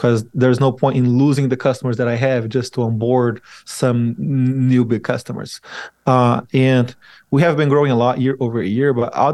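Delivered at a moderate pace with a Portuguese accent, the speech has fairly even intonation and very even loudness. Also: man. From Brazil. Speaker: software firm CEO. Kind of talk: interview.

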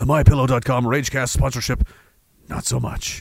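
A man's raspy, put-on character voice at medium pitch, with flat, monotone intonation and a moderate pace

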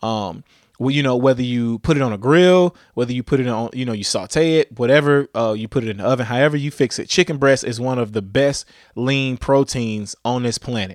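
On a very clean recording with a silent background and a dry, close sound with no echo, a man speaks at a fairly quick pace and medium pitch with ordinary pitch variation. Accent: American. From Louisiana. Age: 30s. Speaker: podcast host. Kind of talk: casual monologue on fitness.

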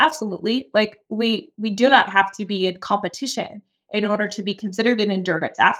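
Speaking fairly quickly with an American accent, a woman uses an unremarkable speaking voice, fairly high in pitch, with ordinary pitch variation. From Key West, Florida. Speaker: fitness coach and former marathoner. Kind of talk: casual conversational interview.

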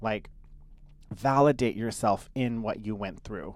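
Delivered at a fairly slow pace with ordinary pitch variation, the speech sits in a very clean recording with a silent background. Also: man. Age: 30s. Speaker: podcast co-host. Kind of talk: casual chat.

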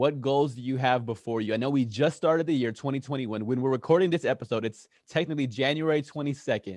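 A man with an ordinary speaking voice, medium pitch, ordinary pitch variation and a fairly quick pace with hardly any pauses. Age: 30s. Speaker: podcast host. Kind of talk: interview. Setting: studio.

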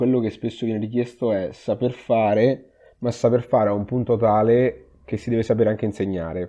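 This man talks at a moderate pace and a medium pitch. His intonation stays fairly even. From Umbria, Italy (Perugia). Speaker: emergency physician. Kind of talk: interview. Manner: halting, repeats words.

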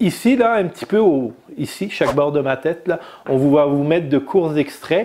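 At a moderate pace, a man with a plain, everyday voice talks with lively intonation. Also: fairly high pitch for a man. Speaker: motorcycle podcast host. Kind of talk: casual chat. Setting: studio.

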